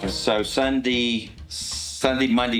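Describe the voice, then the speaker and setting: A man of medium pitch with a Southern US accent, amid noticeable background noise and audible room echo. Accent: Southern US (Georgia). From US South, Georgia (Newnan). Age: 50s. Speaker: restaurant and bar owner. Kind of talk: casual interview. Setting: bar.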